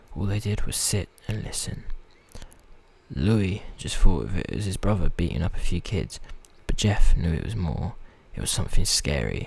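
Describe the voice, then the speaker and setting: Soft-spoken, a man talks with a very deep, low pitch, vocal fry and lively intonation. His pace is moderate, with long, frequent pauses. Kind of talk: story reading, a bit halting.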